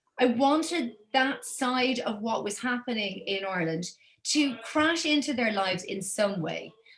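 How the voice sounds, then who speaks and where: Lively intonation comes through at a fairly slow pace, with audible room echo. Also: woman, high pitch for a woman. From Belgium, Brussels, Irish family. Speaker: author and journalist. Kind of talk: interview conversation.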